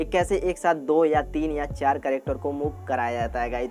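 A man's voice with ordinary pitch variation and faint music in the background. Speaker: tutorial youtuber. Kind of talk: tutorial intro, casual. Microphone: lapel.

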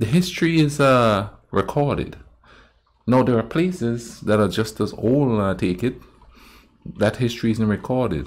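The speech moves at a moderate pace with lively intonation. Long pauses come often. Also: man. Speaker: reaction video host. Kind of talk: casual reaction commentary. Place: home room.

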